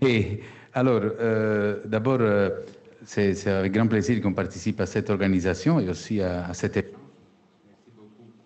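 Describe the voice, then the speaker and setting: A man with a slight Italian accent speaks at a moderate pace in a fairly low voice, with fairly even intonation. His loudness swings widely, and he takes long, frequent pauses. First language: Italian (speaking French). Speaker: business school executive. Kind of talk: panel discussion. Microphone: choppy connection.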